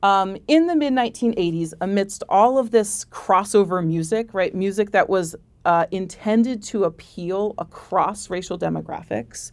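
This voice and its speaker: A woman with an American accent uses an ordinary speaking voice, medium pitch, and ordinary pitch variation, talking at a moderate pace with hardly any pauses. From Oregon, US. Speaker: music professor and author. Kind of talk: interview. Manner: frequent fillers (um, uh).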